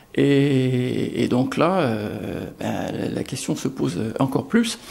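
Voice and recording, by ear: A man speaks slowly at a medium pitch with a slightly mellow tone. Vocal fry shows up in his voice. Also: lively intonation.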